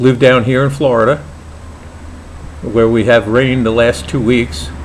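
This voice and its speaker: Over noticeable background noise, a man with an American accent talks at a moderate pace, medium in pitch with ordinary pitch variation. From New York, Brooklyn. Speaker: pipe maker and hobby vlogger. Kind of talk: casual vlog introduction. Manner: hesitant, many fillers.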